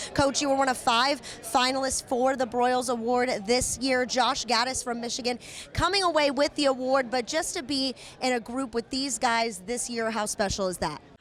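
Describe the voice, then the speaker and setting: Against noticeable background noise, a woman with a high pitch talks at a moderate pace with ordinary pitch variation. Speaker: sports reporter and host. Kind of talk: sideline interview questions.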